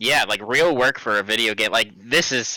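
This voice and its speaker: Loud and bright with a sharp tone, a man speaks at a moderate pace in a very clean, dry, close recording with no echo and a silent background. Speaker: college esports podcast co-host. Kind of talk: casual chat.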